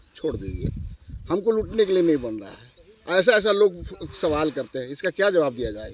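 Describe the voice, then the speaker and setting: A man speaks in a high voice at a moderate pace, his loudness swinging a lot. Background noise is noticeable. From Palamu, Jharkhand. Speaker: former village official. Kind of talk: interview.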